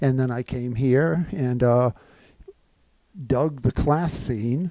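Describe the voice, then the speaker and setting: A man talks at a very slow pace with ordinary pitch variation and a dark, mellow tone. The sound is dry with no echo over a quiet background. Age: 70s. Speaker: former Ironman triathlete, CrossFitter. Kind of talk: podcast interview answer. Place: meeting room. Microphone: handheld.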